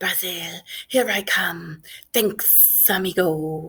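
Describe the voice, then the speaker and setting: A put-on character voice, raspy and hissing, drags along at a very slow pace at a middle pitch. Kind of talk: casual, friendly.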